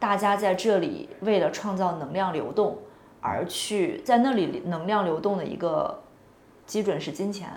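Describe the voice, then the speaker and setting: In a room with audible echo and noticeable background noise, a woman speaks at a medium pitch. Her pace is fairly slow and her intonation lively. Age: 20s. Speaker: podcast host. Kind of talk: casual chat. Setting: office.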